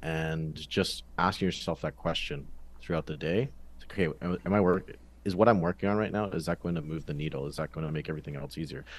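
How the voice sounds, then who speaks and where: A man with a very deep, low pitch, a Canadian accent and vocal fry, at a very fast pace. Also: ordinary pitch variation. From western Canada, British Columbia. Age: 20s. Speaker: ghostwriter. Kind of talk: interview. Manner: casual.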